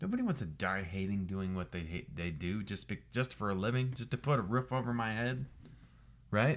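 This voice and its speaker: On a very clean recording with a silent background, a man with an ordinary speaking voice talks at a fairly quick pace, fairly low in pitch and with lively intonation. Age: 30s. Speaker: podcast host, life coach and firefighter. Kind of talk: motivational monologue. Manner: casual, with many fillers and repeats.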